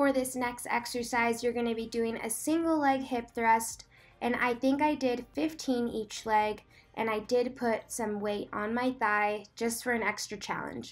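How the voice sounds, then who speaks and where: A woman speaks at a fairly slow pace in a fairly high pitch, her intonation fairly even. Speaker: fitness trainer and vlogger. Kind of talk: workout tutorial voiceover; casual vlog chat. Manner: loud.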